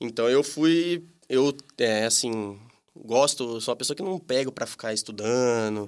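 On a very clean recording with a silent background, a man of medium pitch speaks with lively intonation. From Brazil, Campinas (São Paulo state). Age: 20s. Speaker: tapioca shop owner. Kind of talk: casual interview. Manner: hesitant, many fillers.

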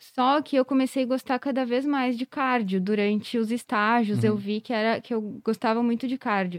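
A woman has an unremarkable speaking voice with a fairly high pitch and fairly even intonation at a moderate pace. The recording is very clean, with a silent background and a dry, close sound with no echo. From southern Brazil, Rio Grande do Sul (Carlos Barbosa, Serra Gaúcha). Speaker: veterinary cardiologist. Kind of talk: podcast interview.

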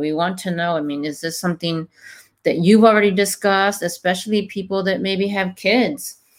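Here is an ordinary speaking voice from a woman at a moderate pace with ordinary pitch variation, on a very clean recording with a silent background. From Mexico, raised in California Bay Area. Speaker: podcast host. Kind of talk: casual podcast conversation.

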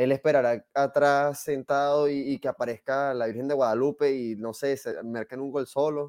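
With hardly any pauses, a man talks in an unremarkable speaking voice, fairly high in pitch with fairly even intonation, in a dry, close sound with no echo. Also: moderate pace. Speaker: football pundit. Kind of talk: casual chat.

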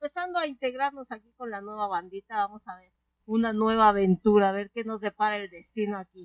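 A woman speaks at a moderate pace in a plain, everyday voice, her pitch fairly high. The sound is dry and close, with no echo. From Mexico City. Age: 40s. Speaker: podcast co-host. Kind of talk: casual chat.

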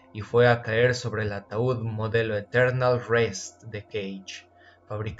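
Fairly even intonation in a natural reading voice.

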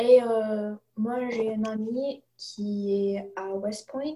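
Fairly even intonation from a woman with a dark, mellow tone. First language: English (speaking French). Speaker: student podcast host. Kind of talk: casual interview chat. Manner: halting, hesitant.

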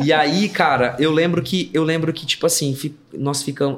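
This man's voice is fairly high, and its pitch moves in an ordinary way. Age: 30s. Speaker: worship pastor and musician. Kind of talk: casual chat.

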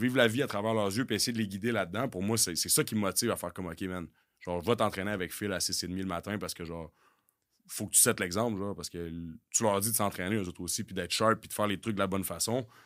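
A man's fairly low voice at a very fast pace, with fairly even intonation, on a very clean recording with a silent background. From Quebec City. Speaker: football coach and former pro football player. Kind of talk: casual chat. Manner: intense.

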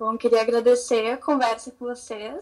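A woman talks in a fairly high voice, keeping to a fairly slow pace. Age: 20s. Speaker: law student. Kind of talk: casual chat. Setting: video call.

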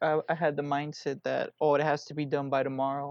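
In an American accent, a man with a fairly high pitch speaks at a moderate pace in a monotone, flat intonation, with a dry, close sound, no echo and a quiet background. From Houston, Texas. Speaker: musician. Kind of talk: casual interview.

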